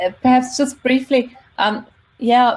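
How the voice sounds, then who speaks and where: The woman's voice is somewhat breathy. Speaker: university lecturer and linguist. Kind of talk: panel discussion.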